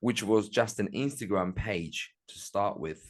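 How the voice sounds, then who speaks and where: This man talks at a fairly slow pace with a Turkish Cypriot accent. His pitch sits fairly low, and the background is quiet. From Northern Cyprus. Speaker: music promoter and entrepreneur. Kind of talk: interview.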